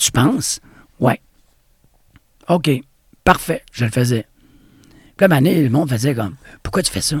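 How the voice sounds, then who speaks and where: Somewhat breathy and fairly high-pitched, a man talks fairly slowly with lively intonation and long, frequent pauses. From Quebec, Bas-Saint-Laurent. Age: 50s. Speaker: dance studio owner and former breakdancer. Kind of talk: interview.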